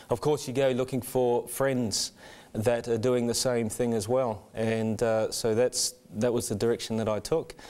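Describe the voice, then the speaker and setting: A man with a New Zealand accent, medium pitch, fairly even intonation and a moderate pace. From New Zealand, Rotorua. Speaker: church member sharing conversion story. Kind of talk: testimony. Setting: studio. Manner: halting.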